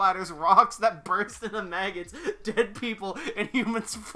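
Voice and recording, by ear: Someone reads aloud in a natural voice.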